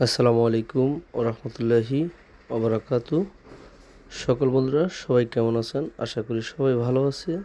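Speaking at a medium pitch, a man has a dark, mellow tone and fairly even intonation. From Bangladesh, Chandpur (Faridganj). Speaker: vlogger. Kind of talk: casual video vlog. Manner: halting.

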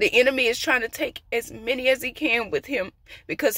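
A woman speaks in a high pitch with a bright, sharp tone. The sound is dry with no echo, and the background is quiet. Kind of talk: prophetic sermon. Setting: outdoors. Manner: emphatic, repetitive. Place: car. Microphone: phone near.

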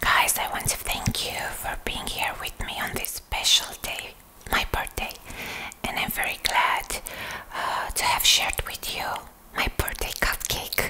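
A soft-spoken woman is whispering. Her pace is fairly slow. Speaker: content creator. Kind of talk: casual to-camera chat. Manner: soft ASMR whisper to viewers. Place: home room.

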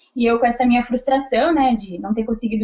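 Against a quiet background, a woman speaks in a high voice. Her pace is fairly quick. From Porto Alegre, southern Brazil; Rio Grande do Sul, Brazil. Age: 20s. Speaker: successful civil service exam candidate; candidate. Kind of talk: interview testimony. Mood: calm, reflective. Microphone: video call.

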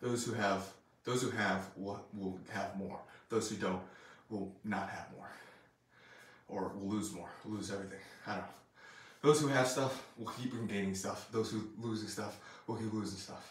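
At a moderate pace and with fairly even intonation, the speaker leaves long, frequent pauses, and audible room echo surrounds the voice. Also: man, fairly low pitch for a man. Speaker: strength coach. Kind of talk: casual vlog chat. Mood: reflective, motivational. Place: gym. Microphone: camera far.

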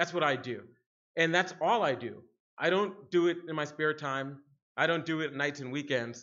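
A man with an American accent and fairly high pitch talks at a moderate pace with ordinary pitch variation and long, frequent pauses over a quiet background. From Harlem, New York City; New York City. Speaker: security researcher, keynote speaker; keynote speaker. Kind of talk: conference keynote talk. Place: hall. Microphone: podium.

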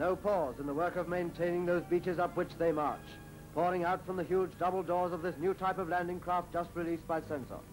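With music in the background, a man speaks fairly quickly in a high, monotone, flat voice. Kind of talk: newsreel narration. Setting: archival recording.

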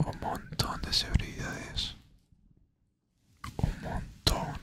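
A man whispers. His pace is very slow. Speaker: ASMR creator. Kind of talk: ASMR motivational talk to listener. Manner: whispered. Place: home room.

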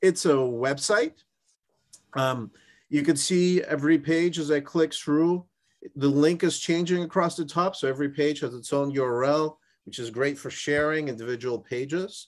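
Fairly high male voice at a moderate pace, ordinary pitch variation, quiet background. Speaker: startup founder pitching a product. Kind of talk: investor pitch and product demo. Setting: video call. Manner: energetic. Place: home room. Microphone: video call.

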